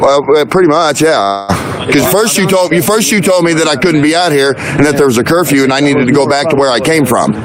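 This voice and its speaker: Over noticeable background noise and audible room echo, a man talks at a fairly high pitch and a fairly quick pace with ordinary pitch variation. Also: very even loudness. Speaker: independent citizen journalist livestreamer. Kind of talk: heated argument with police. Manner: loud.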